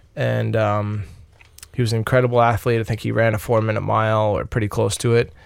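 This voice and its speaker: With a Long Island accent, a man talks in a monotone, flat intonation. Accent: New York (Long Island) American. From Long Island, New York. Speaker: ice hockey player. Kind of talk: interview. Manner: halting, many fillers.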